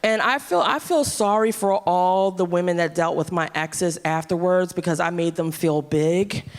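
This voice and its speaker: A woman with an unremarkable speaking voice, medium in pitch, ordinary pitch variation, at a fairly slow pace. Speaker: comedy show host. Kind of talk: stage banter.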